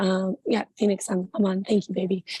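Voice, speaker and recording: Somewhat breathy, a woman at medium pitch speaks in a dark, mellow tone, the sound dry and close with no echo. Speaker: burlesque performer, panelist. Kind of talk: panel discussion. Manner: hesitant, many fillers.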